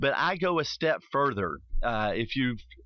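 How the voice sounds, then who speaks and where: A man in a Tennessee accent talks with lively intonation. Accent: Tennessee Southern US. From US South. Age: 40s. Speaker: radio host. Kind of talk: radio talk show monologue. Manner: animated.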